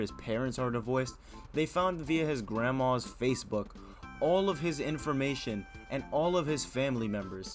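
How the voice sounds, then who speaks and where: Over music in the background, a man with a medium pitch speaks at a moderate pace with lively intonation. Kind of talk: casual commentary to camera. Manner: casual, exasperated.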